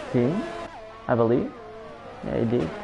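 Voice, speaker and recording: Music plays in the background. A man talks at a medium pitch. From Portugal. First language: Portuguese. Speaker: sim racing league commentator. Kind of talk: live commentary. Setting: live stream.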